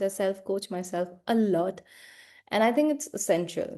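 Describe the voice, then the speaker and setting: A woman's dark, mellow voice with an Indian accent, over a quiet background. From India, small town. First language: Hindi. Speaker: life coach. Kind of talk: personal vlog monologue.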